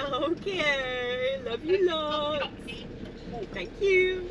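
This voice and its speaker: The pace is very slow, with a dry sound that has no echo. Noticeable background noise can be heard. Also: woman. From Cardiff, Wales. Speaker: vanlife vlogger. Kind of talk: casual vlog talk. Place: boat. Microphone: phone near.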